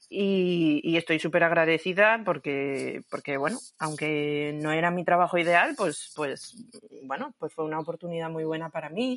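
Speaking fairly slowly, a woman has a normal speaking voice, fairly low in pitch with ordinary pitch variation. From Asturias, Spain. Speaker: yarn shop owner and knitter. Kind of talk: casual interview.

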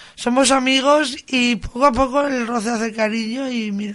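Female speech at a moderate pace, ordinary pitch variation, noticeable background noise behind it. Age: 30s. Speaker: psychiatric hospital patient. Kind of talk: casual interview.

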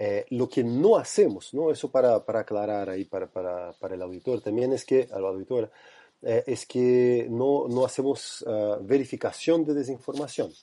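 A man with a Portuguese accent speaks at medium pitch and a moderate pace, with ordinary pitch variation. His tone is dark and mellow against a quiet background. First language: Portuguese (speaking Spanish). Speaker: researcher. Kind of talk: interview. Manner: halting.

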